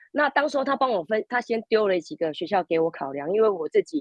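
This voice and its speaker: At a moderate pace, the voice moves through very wide pitch swings with hardly any pauses. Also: woman. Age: 50s. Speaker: language school student. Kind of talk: interview.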